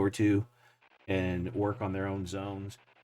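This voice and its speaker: A man speaks with a Texan accent. His pace is moderate. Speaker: miniature painter streamer. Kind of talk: casual chat. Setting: live stream. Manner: casual, filler-heavy.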